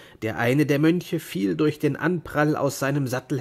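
A man is heard here. His pace is fairly slow.

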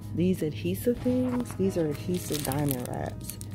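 A woman speaks at a moderate pace in a dry sound with no echo. Clear music plays in the background. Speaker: vlogger shopping. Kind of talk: casual vlog chat. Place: shop. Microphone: phone near.

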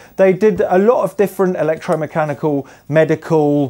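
Speaking at a moderate pace, a man uses ordinary pitch variation. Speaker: museum host. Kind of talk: casual vlog chat. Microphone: lapel.

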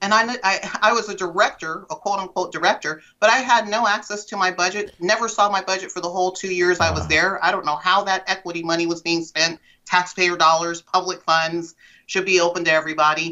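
A woman talks at a fairly quick pace. Her pitch is medium and her intonation fairly even. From Central Valley of California (Lodi). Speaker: former DEI director and educator. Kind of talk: interview. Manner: hesitant, many fillers.

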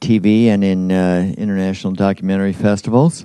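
A man talks in a dark, mellow tone with fairly even intonation. The background is quiet. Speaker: event host introducing a guest. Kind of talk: speaker introduction at a public event. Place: hall. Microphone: handheld.

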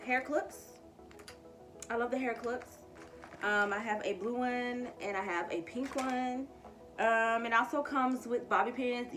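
Over clear background music, a woman with a high-pitched voice speaks with long, frequent pauses. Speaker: vlogger. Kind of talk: casual product review vlog chat. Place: home room. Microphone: phone near.

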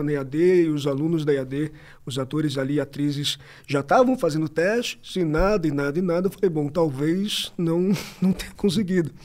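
Over a quiet background, a man with a fairly high pitch speaks at a moderate pace, using ordinary pitch variation. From São Paulo, Brazil. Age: 20s. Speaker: actor. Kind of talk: casual chat. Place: studio. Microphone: studio mic.

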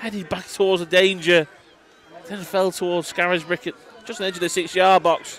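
Against noticeable background noise, a man speaks at a fairly quick pace in a high pitch, with a relaxed tone and monotone, flat intonation. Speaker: co-commentator giving analysis. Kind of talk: live sports commentary, co-commentary summing up and replaying goals. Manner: measured, analytical, more relaxed.

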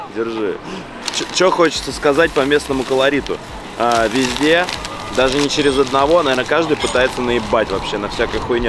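A man at a moderate pace with ordinary pitch variation, dry sound with no echo, and loud background noise. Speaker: travel food vlogger. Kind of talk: casual vlog chat. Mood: relaxed, wry complaining. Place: street.

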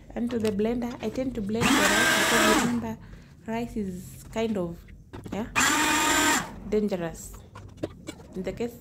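Loud background noise surrounds a woman who speaks at a moderate pace with ordinary pitch variation. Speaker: home cook vlogger. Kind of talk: casual vlog chat. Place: kitchen. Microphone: camera far.

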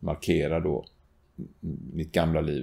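A man's very deep, low voice, dark and mellow in tone, monotone and flat, at a very slow pace. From Gothenburg, Sweden; Sweden. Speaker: retired teacher and school principal; retired teacher. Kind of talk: testimony. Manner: halting, many repetitions and fillers. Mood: earnest, personal.

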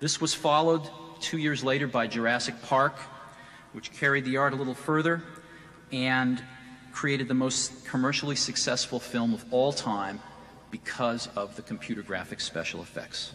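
At a moderate pace, a man speaks with ordinary pitch variation over faint music in the background. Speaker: keynote presenter. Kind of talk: conference keynote speech. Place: stage. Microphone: podium.

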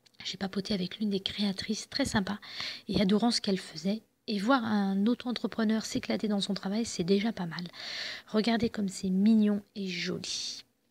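A woman talks at a moderate pace and medium pitch, her fairly even intonation marked by a slightly husky edge.

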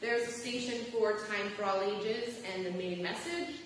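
Strong room echo and light background noise surround a woman speaking with lively intonation. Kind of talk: service instructions to congregation. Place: church.

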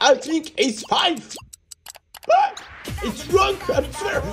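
Using a put-on character voice, a man talks at a fairly slow pace in an extremely high pitch, with faint music in the background. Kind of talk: comic overacting. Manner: frantic, exclamatory, overexcited.

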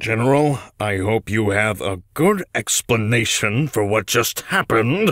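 A man speaks at a fairly slow pace. His pitch sits at a medium level. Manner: angry, scolding.

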